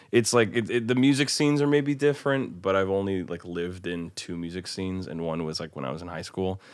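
A man talks at a very fast pace with hardly any pauses, his very deep, low voice swinging very widely in pitch. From US Midwest (Omaha, Nebraska). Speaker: indie rock musician and songwriter. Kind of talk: casual chat.

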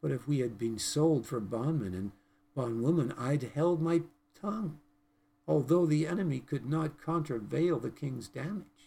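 With lively intonation, a man speaks at a fairly high pitch in a dark, mellow tone that is somewhat breathy. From British Columbia, Canada. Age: 70s. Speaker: preacher. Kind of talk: sermon. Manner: earnest, preaching.

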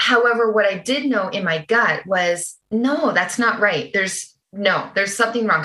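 In an ordinary speaking voice, a woman talks at a moderate pace with a Canadian accent. Her pitch is fairly high, and she hardly pauses at all. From Canada. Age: 40s. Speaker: holistic nutritionist. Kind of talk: interview.

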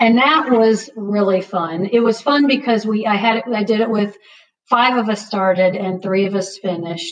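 With an American accent, a woman uses an unremarkable speaking voice at a moderate pace, medium in pitch with ordinary pitch variation. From US South, Northern Virginia (Loudoun County). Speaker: ultrarunner. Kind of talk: interview.

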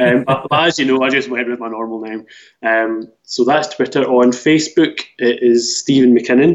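Here, a man talks in a Scottish accent. His intonation is fairly even. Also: medium pitch for a man, moderate pace. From Scotland; Glasgow. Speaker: author. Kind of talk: casual interview chat. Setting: remote call.

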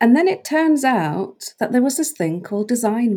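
Spoken at a moderate pace with a dark, mellow tone, the voice swings very widely in pitch on a very clean recording with a silent background. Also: woman. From Norway, rural west coast island. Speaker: brand strategist and designer. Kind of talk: interview conversation.

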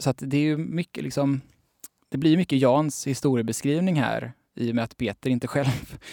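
A man talks at a moderate pace in a dark, mellow tone. The sound is dry and close, with no echo. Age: 20s. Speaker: journalist and author. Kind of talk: casual interview chat.

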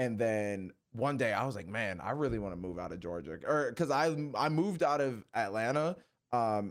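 A man with a normal speaking voice, medium pitch and moderate pace, on a very clean recording with a silent background. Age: 20s. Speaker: YouTuber, wrestling content creator. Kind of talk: casual chat.

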